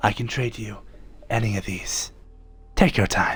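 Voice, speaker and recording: Putting on a character voice, a man talks at a moderate pace and medium pitch over light background noise. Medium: game stream.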